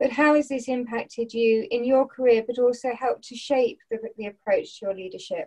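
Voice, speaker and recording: A woman speaks at a high pitch with a dark, mellow tone, ordinary pitch variation and a moderate pace. She leaves hardly any pauses, and the background is quiet. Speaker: webinar facilitator, business consultant; webinar facilitator. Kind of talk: formal webinar hosting. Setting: video call. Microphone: video call.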